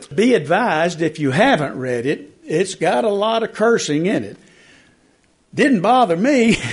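With an East Tennessee accent, a man talks at a fairly slow pace in a high voice, his pitch swinging very widely. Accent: East Tennessee Southern. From East Tennessee, rural South Knox County. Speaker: newspaper columnist and author. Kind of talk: book talk to a lunchtime audience. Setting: library talk with live audience.

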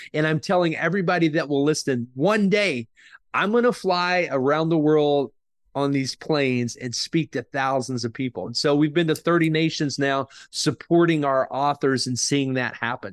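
A man with an American accent and a plain, everyday voice talks at a fairly high pitch with ordinary pitch variation, the sound dry and close with no echo over a quiet background. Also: moderate pace. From Oklahoma, US. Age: 50s. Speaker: author and book publisher. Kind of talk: interview.

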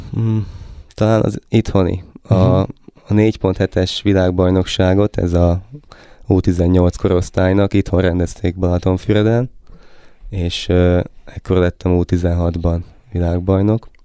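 Delivery is very slow, with long, frequent pauses and monotone, flat intonation. The tone is dark and mellow, and the loudness stays very even. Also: man, very deep, low pitch for a man. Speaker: competitive sailor. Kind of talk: interview. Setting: studio.

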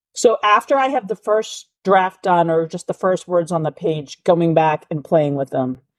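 A woman with an American accent has a plain, everyday voice and a fairly low pitch. She speaks with lively intonation and hardly any pauses. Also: moderate pace, dry, close sound with no echo. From Massachusetts, US. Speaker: novelist. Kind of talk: interview.

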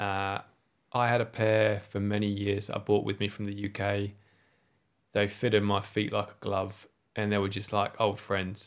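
On a very clean recording with a silent background, a man with an English accent speaks in a monotone, flat way at a moderate pace and a fairly low pitch. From England. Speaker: ski and outdoors instructor. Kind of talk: casual interview.

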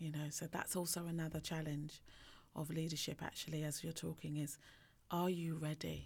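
A woman speaks at a moderate pace in a very deep, low, somewhat breathy voice with monotone, flat intonation. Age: 40s. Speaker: leadership coach and podcast co-host. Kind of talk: casual chat.

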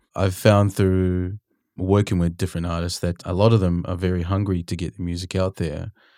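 Speaking in a New Zealand accent at a fairly quick pace, a man has a very deep, low voice with a dark, mellow tone and flat, monotone intonation, recorded dry and close with no echo on a very clean track with a silent background. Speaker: podcast host and music mentor. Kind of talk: casual interview chat. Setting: studio.

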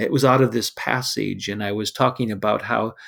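A man speaks at a medium pitch and a moderate pace in an unremarkable speaking voice with fairly even intonation. The recording is very clean, with a silent background. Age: 60s. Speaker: pastor. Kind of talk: devotional teaching.

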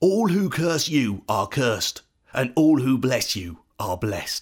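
Slow and slightly husky at the edge, a man's put-on character voice sits at medium pitch but makes big pitch swings.

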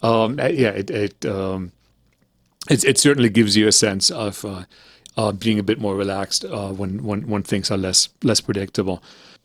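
With a slight German accent, a man talks in a fairly low pitch with ordinary pitch variation. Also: moderate pace. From Germany, then Canada from age twelve. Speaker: jazz pianist and music professor. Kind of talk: interview. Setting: video call. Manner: halting, many fillers.

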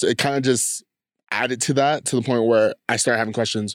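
At a moderate pace and medium pitch, a man with a Californian accent speaks in a very clean recording with a silent background, dry and close with no echo. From US West Coast, San Diego. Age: 20s. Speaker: podcast guest, creative artist. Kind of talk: casual interview, personal story. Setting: home studio in host's basement.

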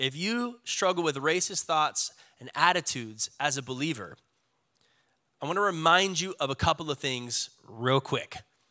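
A man's fairly high, bright, sharp voice, animated in tone with lively intonation, at a moderate pace in a very clean recording with a silent background. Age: 30s. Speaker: pastor. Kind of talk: sermon. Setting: church.

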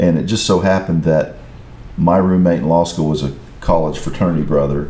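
Noticeable background noise and audible room echo surround the recording. A man speaks at a moderate pace with fairly even intonation. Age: 60s. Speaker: lawyer, husband and father. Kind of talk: casual interview chat.

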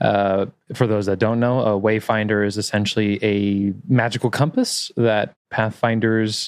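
With a normal speaking voice, a man talks at a fairly low pitch and fairly even intonation against a quiet background. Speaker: game master and content creator. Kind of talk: casual interview.

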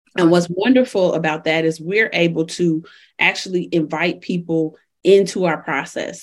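In an ordinary speaking voice, a woman with an American accent talks at a fairly low pitch with ordinary pitch variation over a quiet background. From Chicago. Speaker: entrepreneur. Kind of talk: interview.

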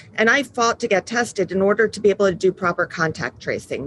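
In an American accent, this unremarkable speaking voice moves at a moderate pace with ordinary pitch variation. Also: woman. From New York. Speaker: patient advocacy founder. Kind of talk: interview.

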